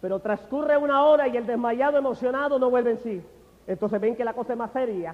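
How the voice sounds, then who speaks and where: At a fairly quick pace, a man with an extremely high pitch speaks with ordinary pitch variation. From Honduras. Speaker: physician turned preacher. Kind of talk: religious testimony. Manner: animated, emphatic.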